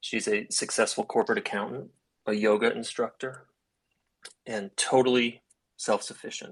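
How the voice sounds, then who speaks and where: A man talks at a moderate pace. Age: 30s. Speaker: caller. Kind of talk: testimony. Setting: online audio room.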